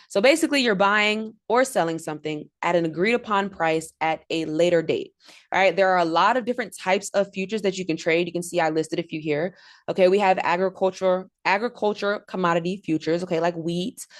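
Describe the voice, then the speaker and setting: Against a quiet background, a woman talks very fast in an animated tone at a medium pitch with ordinary pitch variation. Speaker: trading instructor. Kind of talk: livestream lecture. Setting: live video stream.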